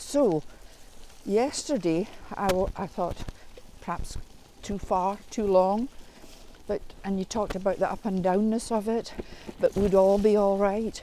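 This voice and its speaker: With a dark, mellow tone, a woman speaks at a medium pitch and fairly even intonation, using long, frequent pauses. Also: fairly slow pace. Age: 70s. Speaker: mother on the cycling trip.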